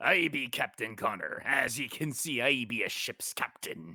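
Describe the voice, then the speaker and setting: Putting on a character voice, a man speaks at a medium pitch. His pace is moderate. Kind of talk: pirate speech. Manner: pirate-like.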